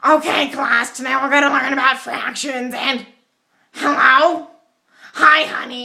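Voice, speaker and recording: In a put-on character voice that sounds female and strained, the speaker pitches high and moves at a fairly slow pace with long, frequent pauses. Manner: distracted.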